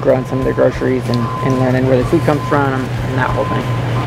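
A man talks at a very fast pace over music in the background. The sound is dry with no echo. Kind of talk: interview answer. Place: garden. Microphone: lapel.

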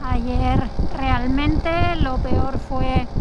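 Loud background noise behind a woman's dry, echo-free voice. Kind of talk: casual vlog chat. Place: motorbike.

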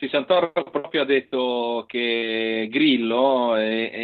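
A man's voice shows ordinary pitch variation, and the background is quiet. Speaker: local politician. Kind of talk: casual chat. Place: home room. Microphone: unstable connection; earbuds.

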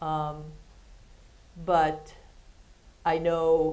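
Very deep, low pitch from a woman. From Ohio, US Midwest. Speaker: retired athletics administrator; interview guest. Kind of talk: interview on stage. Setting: stage with audience. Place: studio.

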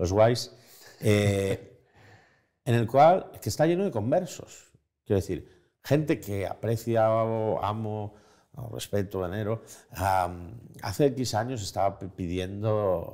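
At a very slow pace, a man speaks with long, frequent pauses and ordinary pitch variation. His fairly low voice has a dark, mellow tone against a quiet background. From Spain. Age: 40s. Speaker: journalist and writer; journalist. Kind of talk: interview conversation. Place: home room.

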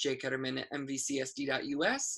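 A bright, sharp tone in an American accent, with a quiet background. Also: man. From US Midwest. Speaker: school show host. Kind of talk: casual interview show. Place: home room. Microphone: webcam.

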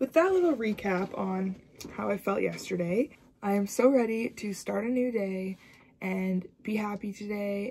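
Somewhat breathy and at a medium pitch, a woman speaks at a very slow pace. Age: 20s. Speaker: university student. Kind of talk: casual vlog talk to camera. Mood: reflective, candid. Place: home room. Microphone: phone near.

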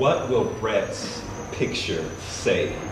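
There is music in the background and audible room echo as a man talks. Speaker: writer. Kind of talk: fiction reading. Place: shop.

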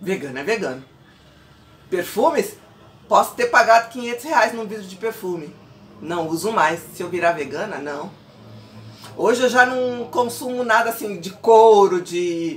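The speech moves at a fairly slow pace with long, frequent pauses, very wide pitch swings and big swings in loudness. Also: woman, fairly high pitch for a woman. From Brazil. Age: 40s. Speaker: pastor and vlogger; pastor, vlogger. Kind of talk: casual vlog monologue. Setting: at home. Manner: animated. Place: home room. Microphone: phone near.

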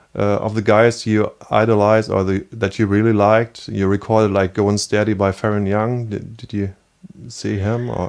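Over a quiet background, a man with a German accent and a fairly low pitch talks at a moderate pace. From East Germany. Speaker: podcast host; show host interviewer. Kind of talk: interview. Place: home room.

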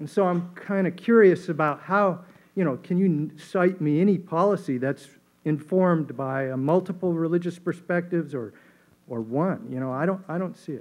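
A man's high voice at a moderate pace with ordinary pitch variation. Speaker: audience member. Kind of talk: audience question. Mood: earnest, challenging. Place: hall. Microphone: podium.

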